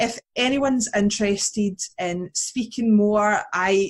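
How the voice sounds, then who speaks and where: A somewhat breathy voice at a very slow pace. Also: woman. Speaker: youth resilience educator. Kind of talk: podcast interview.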